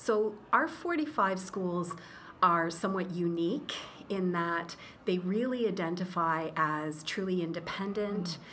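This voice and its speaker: A woman with a Canadian accent speaks at a medium pitch and fairly slow pace, her tone bright and sharp. Her pitch variation is ordinary, and there is audible room echo. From Eastern Ontario, Canada. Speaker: school association executive director. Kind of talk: interview.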